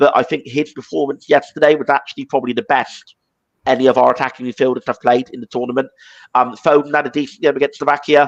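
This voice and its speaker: With an English accent, a man with a fairly high pitch talks at a very fast pace and fairly even intonation, the sound dry and close with no echo. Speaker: football podcast host. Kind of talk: casual chat.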